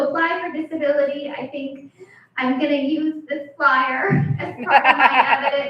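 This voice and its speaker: Fairly slow speech from a woman with a high pitch and a nervous tone, fairly even intonation, and music in the background. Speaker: stand-up comedian. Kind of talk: stand-up. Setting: stage with audience. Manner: sounds a little nervous. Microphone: echo in room.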